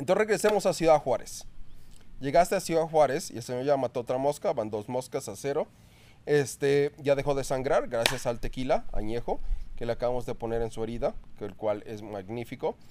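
Using a normal speaking voice, a man talks at a fairly quick pace, pitched fairly high, with lively intonation. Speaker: podcast host. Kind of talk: casual interview. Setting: home recording.

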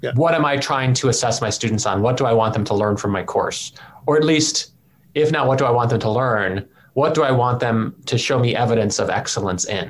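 This man has an ordinary speaking voice, medium in pitch and moving at a fairly quick pace. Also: ordinary pitch variation. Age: 40s. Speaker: philosophy professor and podcast co-host. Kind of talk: casual conversation.

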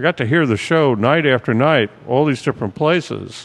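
A man with an American accent speaks in an unremarkable speaking voice, with a fairly high pitch, ordinary pitch variation and a moderate pace. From Brooklyn, New York. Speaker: music and sports journalist. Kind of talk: casual chat.

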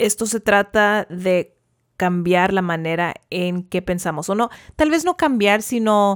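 Speaking at a very slow pace, a woman holds a medium pitch with ordinary pitch variation. The very clean recording has a silent background and a dry, close sound with no echo. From US, central California (Tulare County). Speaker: podcast host, parent. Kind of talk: casual chat.

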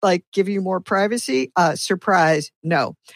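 A woman with an American accent talks at a fairly slow pace. The recording is very clean with a silent background, and the sound is dry and close with no echo. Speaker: WordPress meetup organizer. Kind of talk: casual panel discussion.

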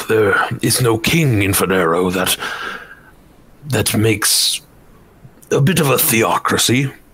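A man in a put-on character voice, at a fairly slow pace. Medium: actual play. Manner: formal, courteous, earnest.

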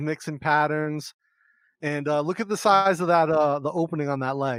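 With a normal speaking voice, this man speaks fairly quickly, keeping his intonation fairly even. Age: 40s. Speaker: podcast host. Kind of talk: casual interview. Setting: video call.

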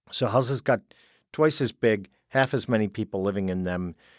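Recorded with a dry, close sound and no echo, a man with a plain, everyday voice speaks at a fairly low pitch with lively intonation. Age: 50s. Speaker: geriatrician. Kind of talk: interview.

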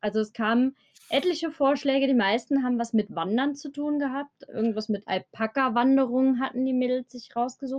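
A woman talks at a fairly quick pace in a high pitch with ordinary pitch variation. The sound is dry and close, with no echo. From Germany, Eifel region. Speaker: bank clerk, guest. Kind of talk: casual chat.

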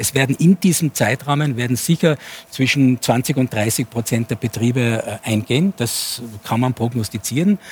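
Medium-pitched man at a moderate pace with ordinary pitch variation, dry, close sound with no echo, and noticeable background noise. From Innsbruck, Austria. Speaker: sociologist and futurist. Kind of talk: talk show debate.

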